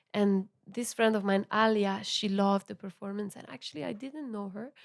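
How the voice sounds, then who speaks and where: A woman speaks with an Italian accent at a medium pitch. Her loudness swings widely while her pitch varies in an ordinary way. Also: moderate pace. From Italy, Milan. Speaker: musician. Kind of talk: podcast interview. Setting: recorded at venue. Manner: halting.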